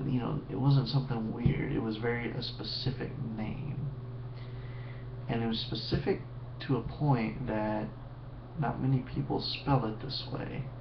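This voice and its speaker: With noticeable background noise, a man of medium pitch talks at a fairly slow pace with long, frequent pauses. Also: ordinary pitch variation. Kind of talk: casual storytelling to webcam. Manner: sleepy.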